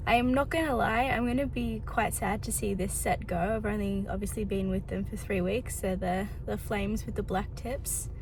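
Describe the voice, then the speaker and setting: A woman speaks at a moderate pace with an Australian accent, hardly pausing at all. Music plays in the background. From Melbourne, Australia. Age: 20s. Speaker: vlogger. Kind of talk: casual vlog talk to camera.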